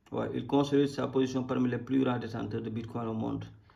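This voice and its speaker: A man at a moderate pace, with audible room echo. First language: Wolof (speaking French). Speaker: crypto YouTuber. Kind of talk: casual market commentary. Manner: halting.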